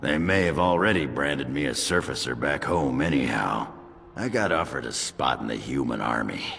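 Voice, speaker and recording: A cartoonish character voice from a man, raspy and very deep, at a fairly quick pace over clear background noise. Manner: gruff, hearty.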